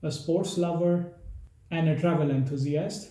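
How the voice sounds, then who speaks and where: The voice has an Indian accent and a moderate pace. Audible room echo surrounds it. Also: man. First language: Hindi. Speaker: travel vlogger. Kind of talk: casual Q&A monologue.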